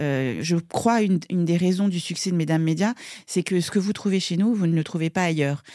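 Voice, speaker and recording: This woman talks at a fairly quick pace in a fairly low pitch with a dark, mellow tone, ordinary pitch variation and very even loudness, on a very clean recording with a silent background. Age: 50s. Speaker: media co-founder and producer. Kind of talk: podcast interview.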